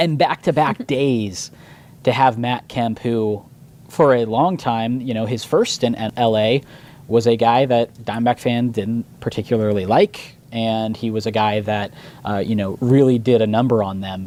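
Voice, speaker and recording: At a fairly slow pace, a man speaks in a dark, mellow tone at a medium pitch. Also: fairly even intonation. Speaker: radio host. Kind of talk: sports radio talk. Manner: casual, conversational.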